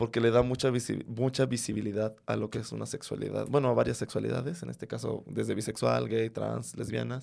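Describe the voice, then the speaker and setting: At a fairly quick pace, the speech runs on with hardly any pauses. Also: man. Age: 30s. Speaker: podcaster and stand-up comedian. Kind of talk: casual chat. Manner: animated.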